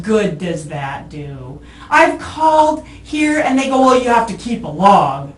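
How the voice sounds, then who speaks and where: Over noticeable background noise, a woman with a fairly high pitch talks at a fairly slow pace, with very wide pitch swings and big swings in loudness. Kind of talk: police interrogation answer. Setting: police interview room. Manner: sarcastic, dismissive, irritated.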